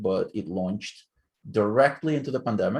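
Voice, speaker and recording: A fairly low-pitched man with a non-native accent at a fairly quick pace, over a quiet background. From Ukraine. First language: not English. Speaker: author. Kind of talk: casual interview.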